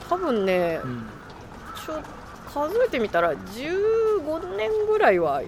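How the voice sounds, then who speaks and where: A woman with a high-pitched voice speaks at a very slow pace, her pitch swinging very widely. Long, frequent pauses break up her speech over noticeable background noise. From Japan, Shiga Prefecture. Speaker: podcast co-host. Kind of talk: casual chat. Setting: outdoors.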